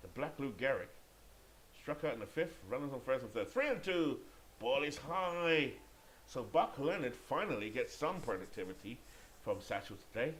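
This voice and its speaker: A man's fairly high voice with vocal fry and lively intonation, at a moderate pace with long, frequent pauses. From Great Britain. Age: 50s. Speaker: video game sports commentator. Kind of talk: play-by-play commentary; casual chat. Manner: occasionally halting with self-corrections.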